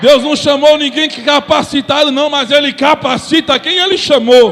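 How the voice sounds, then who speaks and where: With noticeable background noise, a man speaks at a moderate pace in an extremely high voice, with ordinary pitch variation. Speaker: preacher. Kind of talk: sermon. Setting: church.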